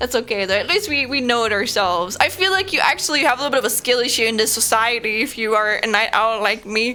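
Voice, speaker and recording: The delivery is very fast, with lively intonation. Background noise is noticeable. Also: woman. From Germany. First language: German. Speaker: streamer. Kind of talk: casual live stream chat. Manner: halting, many fillers and repetitions.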